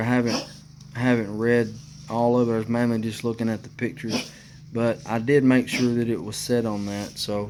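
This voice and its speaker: Moderate pace with monotone, flat intonation. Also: man. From Alabama. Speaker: motorcycle DIY youtuber. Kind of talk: tutorial. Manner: casual, hesitant with fillers.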